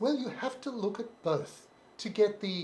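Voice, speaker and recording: A man with an Australian accent speaks at a moderate pace, his pitch swinging very widely. Noticeable background noise runs under the recording. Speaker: live stream co-host. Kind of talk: casual chat. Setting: live stream.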